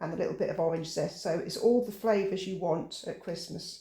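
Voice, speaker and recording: With an English accent, this man speaks at a moderate pace in a high pitch, his relaxed, dark and mellow tone carried on fairly even intonation. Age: 60s. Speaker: home cooking channel host. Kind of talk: cooking tutorial. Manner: relaxed, chatty.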